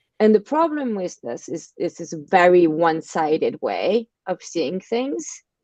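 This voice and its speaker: With a French accent, a woman talks in a fairly low pitch and a dark, mellow tone, the sound dry and close with no echo. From France. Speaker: marketing agency partner and podcast host. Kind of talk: casual interview. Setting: live video stream.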